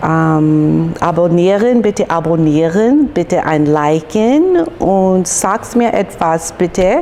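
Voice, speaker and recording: Over noticeable background noise, a woman speaks with an English accent. Her pitch is fairly low, with ordinary variation. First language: English (speaking German). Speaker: YouTuber. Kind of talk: casual vlog chat. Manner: halting, hesitant.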